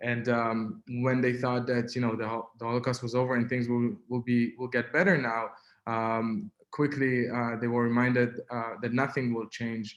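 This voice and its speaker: In an Israeli accent, a man speaks at medium pitch with monotone, flat intonation. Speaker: activist and writer. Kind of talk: webinar talk. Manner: halting, many fillers.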